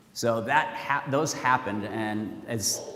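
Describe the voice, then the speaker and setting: Music plays in the background as a man with a fairly low pitch speaks with ordinary pitch variation and audible room echo. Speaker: school principal. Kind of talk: parent meeting address. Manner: casual, with fillers.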